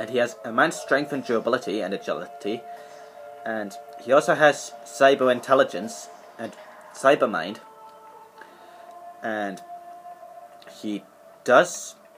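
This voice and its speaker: Against music in the background, a man speaks at a fairly slow pace with ordinary pitch variation, long, frequent pauses and big swings in loudness. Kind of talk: casual show-and-tell commentary. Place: home room. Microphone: webcam.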